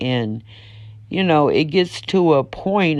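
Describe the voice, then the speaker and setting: A woman's very deep, low pitch, with lively intonation and a very slow pace, against a quiet background. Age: 60s. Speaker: prisoner's wife vlogger. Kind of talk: casual monologue vlog.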